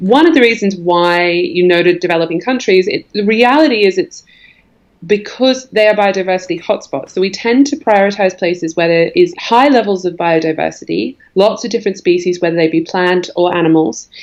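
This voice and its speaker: This woman talks at a fairly quick pace with a slight Australian accent. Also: medium pitch for a woman. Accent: faint Australian. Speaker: environmental organisation executive. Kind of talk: podcast interview.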